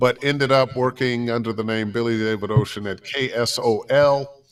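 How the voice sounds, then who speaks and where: Someone speaks at a moderate pace with an American accent and an ordinary speaking voice. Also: man. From Ohio, US Midwest (Cleveland). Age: 60s. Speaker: voiceover artist and former radio DJ. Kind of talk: interview.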